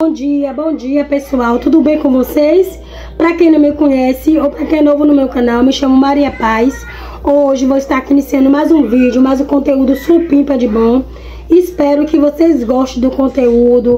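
Light background noise sits behind a woman with a high pitch. She talks at a moderate pace with fairly even intonation. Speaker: home vlogger. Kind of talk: casual vlog chat. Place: home room. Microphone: phone near.

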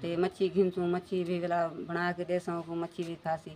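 A woman's dark, mellow voice at a fairly slow pace. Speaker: family vlogger. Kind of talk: casual vlog chat. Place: street. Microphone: phone near.

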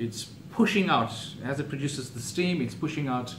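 A man speaks at a moderate pace. There is light background noise and audible room echo. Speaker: presenter. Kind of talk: tutorial. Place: home room. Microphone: camera far.

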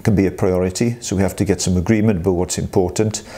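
A man speaks at a fairly quick pace in a fairly low pitch, his intonation flat and monotone. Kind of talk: explanatory talk to staff. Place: office.

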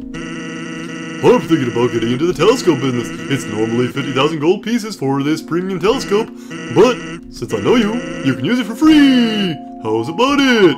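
A man puts on a character voice at a fairly high pitch and a moderate pace. Clear music plays in the background. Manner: pushy salesman pitch.

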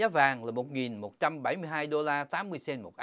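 On a very clean recording with a silent background, a man talks at medium pitch with lively intonation. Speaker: financial news presenter. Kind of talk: news reading. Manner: formal.

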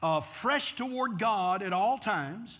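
Against a quiet background, a man projects a raised voice with a bright, sharp tone and very wide pitch swings. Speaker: pastor. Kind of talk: sermon. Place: church. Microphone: lapel.

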